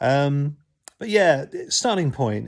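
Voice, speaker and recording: A man with a southern English accent on a very clean recording with a silent background. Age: 60s. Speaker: YouTuber sharing health experience. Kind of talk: casual talk to camera. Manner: halting, many fillers.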